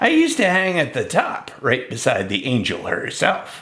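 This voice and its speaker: A man puts on a character voice pitched high. He speaks at a moderate pace over light background noise. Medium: read story.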